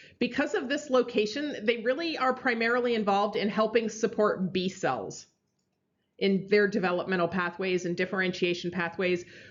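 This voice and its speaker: A woman speaks in a plain, everyday voice at a moderate pace. Her pitch is medium, with ordinary variation. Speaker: university biology lecturer. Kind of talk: lecture.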